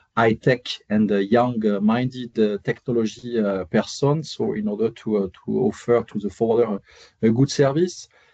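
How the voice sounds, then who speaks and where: A man with a French accent talks at a moderate pace, his pitch medium and his tone dark and mellow. The sound is dry and close with no echo, and his pitch varies in an ordinary way. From France. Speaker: airfreight tech company representative. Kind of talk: webinar panel discussion. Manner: hesitant with many fillers.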